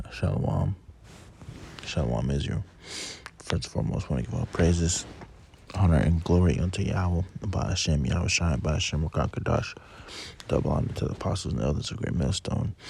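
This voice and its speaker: Over noticeable background noise, a man speaks in a very deep, low pitch, leaving long, frequent pauses. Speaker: religious video blogger. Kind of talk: casual religious talk about a dream. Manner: hesitant, many fillers.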